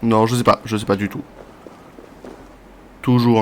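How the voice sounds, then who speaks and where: Words come at a fairly quick pace in a monotone, flat intonation. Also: man. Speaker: video game streamer. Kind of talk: casual gameplay commentary. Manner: casual, conversational.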